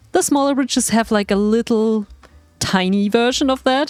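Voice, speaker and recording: A woman with a fairly high pitch talks at a moderate pace, the sound dry and close with no echo, though noticeable background noise comes through. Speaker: gaming YouTuber. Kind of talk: gameplay commentary.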